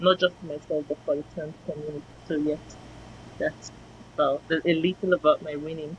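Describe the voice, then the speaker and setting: Talking at a fairly quick pace, a woman with a very deep, low pitch speaks in a flat monotone, her loudness swinging widely between long, frequent pauses. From Nigeria. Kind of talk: interview.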